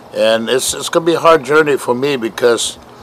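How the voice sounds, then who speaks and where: Noticeable background noise sits under a man's voice. He speaks fairly high at a moderate pace. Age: 70s. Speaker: diabetes awareness walker. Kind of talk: testimony. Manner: halting, many fillers.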